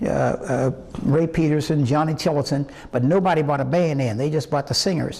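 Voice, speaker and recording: With an American accent, a man speaks at a fairly high pitch and moderate pace amid noticeable background noise. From West Virginia. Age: 80s+. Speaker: singer. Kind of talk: interview. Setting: museum. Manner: halting.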